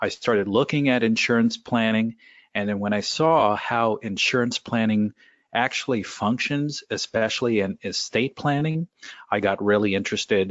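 With a normal speaking voice, a man talks at a moderate pace, keeping ordinary pitch variation and very even loudness. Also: medium pitch for a man. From California. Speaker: financial planner. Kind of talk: interview.

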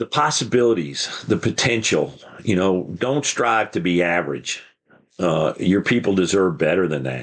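Very deep, low male voice with an American accent, vocal fry, very wide pitch swings and a moderate pace. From New York State, Hudson Valley; Texas since 1976. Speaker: fire chief and author. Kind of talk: interview.

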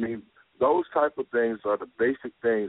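In an American accent, a man with an unremarkable speaking voice talks at a moderate pace and medium pitch, with ordinary pitch variation. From Arkansas, later Chicago. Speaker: social justice advocate, foundation founder. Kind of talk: interview. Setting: studio.

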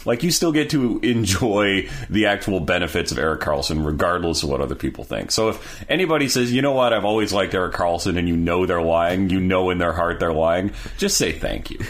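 Amid noticeable background noise, a man with a very deep, low pitch talks in an animated tone at a fairly quick pace with hardly any pauses. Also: lively intonation. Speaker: podcast host. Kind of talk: casual chat. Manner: animated, exasperated.

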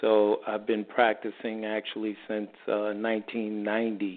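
Medium pitch from a man with an American accent. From New York City. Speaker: holistic health practitioner. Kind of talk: radio interview answering health questions. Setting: radio show with phone-in callers. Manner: conversational, explanatory.

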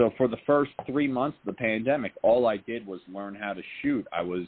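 Speaking at a moderate pace, a man talks. He has an unremarkable speaking voice. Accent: American. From New Jersey, Jersey Shore. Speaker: actor and filmmaker. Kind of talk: interview.

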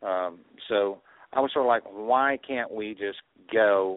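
This man has a Southern US accent and a fairly low pitch. He speaks at a fairly slow pace with ordinary pitch variation. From Arkansas and Texas. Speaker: truck driver, healthy cooking page organizer. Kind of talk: call-in radio discussion.

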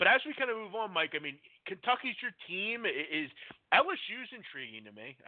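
A man talks with an American accent. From Pennsylvania (Philadelphia area). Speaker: sports betting podcast host. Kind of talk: casual live radio chat. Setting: live call-in internet radio show.

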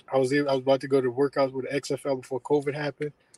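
This is a man with an ordinary speaking voice, fairly high in pitch and fairly quick in pace. The sound is dry and close, with no echo. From Maryland, Columbia (near Baltimore). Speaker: former college quarterback. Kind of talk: interview.

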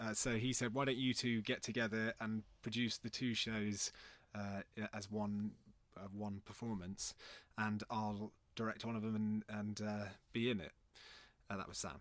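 Delivered at a moderate pace with long, frequent pauses, the monotone, flat speech sits in a very clean recording with a silent background. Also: man, fairly low pitch for a man. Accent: West Country. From Bristol, England. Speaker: theatre artistic director. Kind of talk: casual interview.

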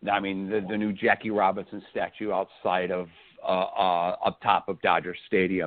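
A man talks at a moderate pace. His pitch sits fairly low. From Illinois. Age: 50s. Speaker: baseball fan. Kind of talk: casual chat. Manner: upbeat, enthusiastic.

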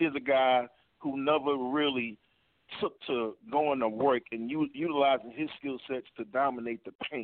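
A man with an American accent and a plain, everyday voice, medium pitch, fairly even intonation and a moderate pace. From New York. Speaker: caller, former college basketball player. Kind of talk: call-in sports talk.

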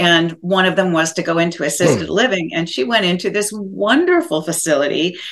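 A woman with an ordinary speaking voice talks at a fairly quick pace with hardly any pauses and ordinary pitch variation. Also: fairly low pitch for a woman. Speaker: co-host, former mayor and author. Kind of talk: casual interview.

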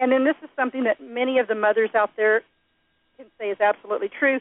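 A woman with a normal speaking voice and a fairly high pitch talks fairly quickly, with ordinary pitch variation. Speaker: radio co-host, marketer. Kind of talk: radio talk show. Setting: studio.

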